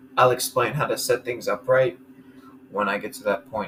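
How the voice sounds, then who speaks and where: Noticeable background noise sits behind a man's voice. He speaks at a fairly slow pace with fairly even intonation. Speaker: gaming video creator. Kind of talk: gameplay commentary. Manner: level, even volume.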